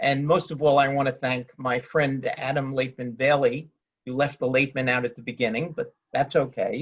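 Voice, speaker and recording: Delivered at a moderate pace, the voice is somewhat breathy and monotone, with flat intonation and a New York accent. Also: man, fairly high pitch for a man. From New York City (Queens). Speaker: real estate lawyer. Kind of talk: panel discussion.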